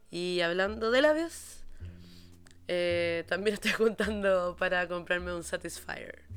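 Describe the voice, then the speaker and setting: A woman speaks with a Chilean accent. Her pace is very slow. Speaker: podcast host. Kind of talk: casual monologue. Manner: animated.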